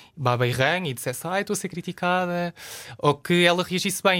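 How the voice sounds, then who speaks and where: A man speaks very fast with a European Portuguese accent, in a bright, sharp tone and ordinary pitch variation. The recording is very clean, with a silent background. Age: 20s. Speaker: journalist. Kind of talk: casual chat.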